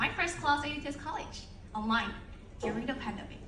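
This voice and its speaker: Projecting a raised voice at a high pitch, a woman speaks at a fairly quick pace with audible room echo. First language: not English. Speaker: alumni speaker. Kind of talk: ceremony speech. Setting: stage with audience. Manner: formal.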